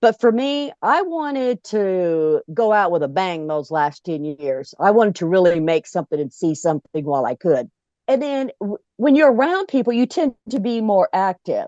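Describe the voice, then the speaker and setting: A woman's dark, mellow voice at a moderate pace with hardly any pauses, very wide pitch swings, and a dry, close sound with no echo. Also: medium pitch for a woman. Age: 60s. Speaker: club founder and RVer. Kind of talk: interview. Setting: RV.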